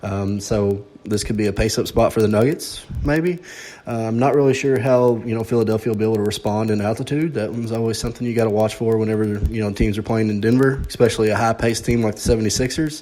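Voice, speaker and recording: Someone with an American accent talks at a very fast pace with hardly any pauses. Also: man, medium pitch for a man, ordinary pitch variation. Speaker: sports betting podcast host. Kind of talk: podcast analysis monologue.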